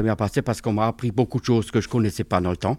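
Recorded very cleanly against a silent background, a man with a medium pitch and a dark, mellow tone sounds dry and close, with no echo. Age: 50s. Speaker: municipal worker. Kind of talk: testimony.

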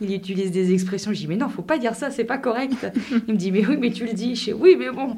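Very fast delivery with lively intonation. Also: woman, fairly high pitch for a woman. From France. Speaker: French expat in a binational couple. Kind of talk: interview.

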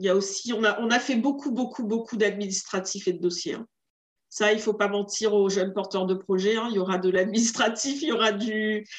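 A woman's fairly high, normal speaking voice at a fairly quick pace, with ordinary pitch variation. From Réunion. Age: 40s. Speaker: entrepreneur. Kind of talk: interview.

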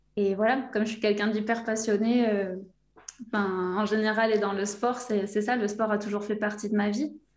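Monotone, flat intonation with audible room echo. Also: woman, fairly high pitch for a woman, moderate pace. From southwest France (Aquitaine, between Bordeaux and the Basque Country). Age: 30s. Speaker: language coach for football players. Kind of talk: interview.

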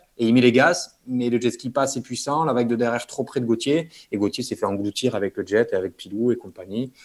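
Speaking in an unremarkable speaking voice, a man sits at a medium pitch. He talks at a fairly quick pace. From French Basque Country (Bayonne). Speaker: dentist and big-wave surfer. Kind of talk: interview.

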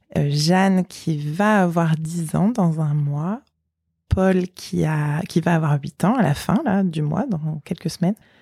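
Dark, mellow tone on a very clean recording with a silent background. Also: woman. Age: 30s. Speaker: mother of eight, cancer survivor. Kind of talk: interview testimony. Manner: hesitant, many fillers.

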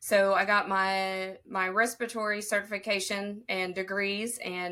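Her intonation is monotone and flat. The woman speaks with a Southern Appalachian accent. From southern Ohio. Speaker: respiratory therapist and speaker.

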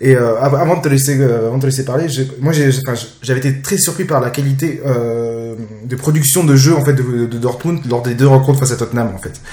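Over noticeable background noise, a man talks at a moderate pace in a medium pitch with fairly even intonation. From France, Jura. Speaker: football podcast host. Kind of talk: casual chat. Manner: halting.

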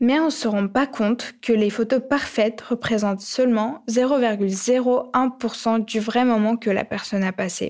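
A woman with a fairly high pitch speaks at a very slow pace with hardly any pauses and fairly even intonation. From Ukraine. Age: young. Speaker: podcast co-host. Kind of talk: scripted podcast narration.

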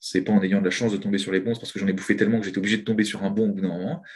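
The man's fairly low voice moves at a very fast pace. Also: hardly any pauses. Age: 20s. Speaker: trader and trading coach. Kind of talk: interview.

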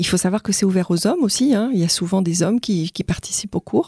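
Recorded very cleanly against a silent background, a woman with a dark, mellow tone and a somewhat breathy, medium-pitched voice talks at a fairly quick pace with ordinary pitch variation, the sound dry and close with no echo. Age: 50s. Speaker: nurse and pole dancer. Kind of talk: interview testimony. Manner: halting.

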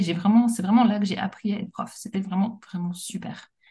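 Somewhat breathy, a woman's medium-pitched voice carries a dark, mellow tone and ordinary pitch variation. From France, Paris. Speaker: teacher and policy analyst. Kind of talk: casual interview.

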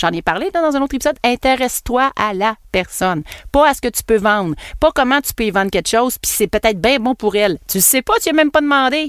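A woman talks at a fairly quick pace in a high pitch, her voice swinging very widely up and down. The sound is dry and close, with no echo. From Quebec. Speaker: podcast host and marketing entrepreneur. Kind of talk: casual monologue podcast. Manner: animated.

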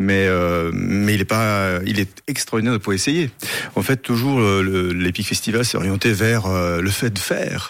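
At a fairly slow pace, a man talks in a fairly low pitch with ordinary pitch variation and very even loudness. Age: 50s. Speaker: festival founder, fencing master and stuntman. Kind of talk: radio interview. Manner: hesitant, many fillers and repetitions.

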